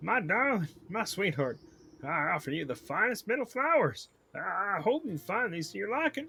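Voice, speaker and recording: Putting on a character voice with a Southern US accent, a man projects loudly at a high pitch and a moderate pace, his pitch swinging very widely. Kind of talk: game stream reading dialogue aloud. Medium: game voice-over.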